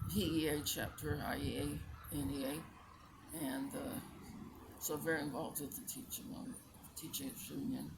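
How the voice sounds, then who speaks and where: A woman talks at a fairly slow pace, with audible room echo. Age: 80s+. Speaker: retired teacher and community volunteer. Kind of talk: interview. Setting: outdoors in a park.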